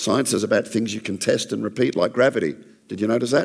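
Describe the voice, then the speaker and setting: A man with an Australian accent talks at a moderate pace in a fairly low pitch, with vocal fry. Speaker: creationist ministry speaker. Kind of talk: church talk. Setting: church with audience. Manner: less dynamic than usual.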